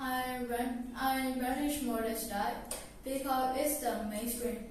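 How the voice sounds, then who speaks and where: A woman with a Burmese accent speaks at a high pitch in a monotone, flat intonation and very even loudness. Noticeable background noise and audible room echo come through. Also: fairly slow pace. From Myanmar. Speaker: language student. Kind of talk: interview practice. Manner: halting.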